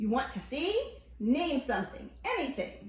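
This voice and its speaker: Using a put-on character voice, a woman speaks in a high pitch at a moderate pace, with a slight echo. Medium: read story. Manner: booming.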